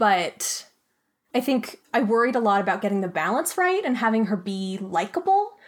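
With an American accent, a woman with a fairly high pitch talks at a moderate pace, her pitch swinging very widely. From Flagstaff, Arizona. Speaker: audio drama creator and writer. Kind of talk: casual interview.

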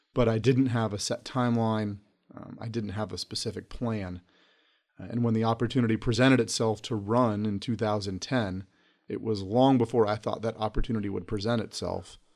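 He is a man with an American accent and a normal speaking voice. His pitch is medium, with fairly even intonation. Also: fairly quick pace. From North Carolina, Charlotte. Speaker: district court judge. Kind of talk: interview.

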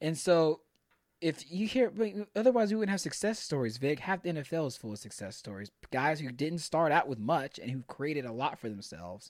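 With an American accent, a man speaks at a fairly high pitch and a fairly quick pace, his pitch swinging very widely. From Pearland, Texas (Houston area). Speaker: firefighter. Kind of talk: casual chat.

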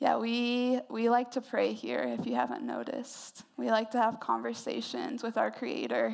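At a moderate pace, a woman speaks with hardly any pauses. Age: 20s. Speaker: preacher. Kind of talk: sermon.

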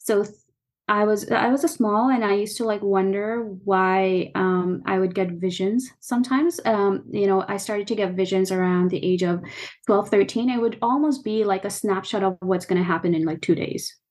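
In a normal speaking voice, a woman talks at a moderate pace and medium pitch with ordinary pitch variation against a quiet background. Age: 30s. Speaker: spiritual consultant and meditation teacher. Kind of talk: casual interview chat.

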